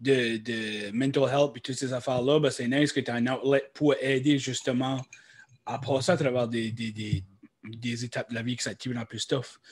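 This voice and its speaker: Speaking at a moderate pace, a man with an Acadian accent uses a medium pitch. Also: fairly even intonation. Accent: Acadian French (chiac). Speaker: podcast co-host. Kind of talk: casual chat.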